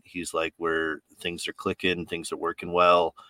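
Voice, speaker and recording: With a very deep, low pitch and a bright, sharp tone, a man with an American accent speaks at a moderate pace in a dry, close sound with no echo. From New York. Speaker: podcast host, corrections officer. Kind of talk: casual chat. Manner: blunt, direct.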